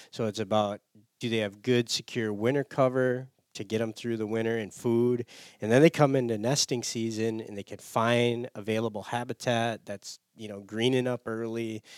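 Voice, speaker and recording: A man's medium-pitched, flat, monotone voice in an Upper Midwest accent, at a moderate pace with big swings in loudness, dry and close with no echo. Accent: Upper Midwest American. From US Midwest. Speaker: conservation organization staffer. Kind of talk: casual interview chat. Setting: studio.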